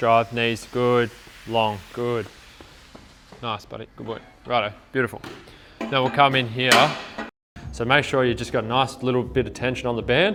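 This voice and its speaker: In an Australian accent, the speaker keeps a fairly even intonation through long, frequent pauses and big swings in loudness, with noticeable background noise behind. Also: man, medium pitch for a man, moderate pace. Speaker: running coach and marathon athlete. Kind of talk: vlog with coaching cues. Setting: public gym.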